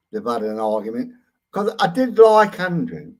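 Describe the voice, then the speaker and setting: A man speaks at a fairly slow pace with a British accent. His pitch swings very widely. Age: 60s. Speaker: YouTube ranter, live streamer. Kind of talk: live stream rant. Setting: live stream. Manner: animated.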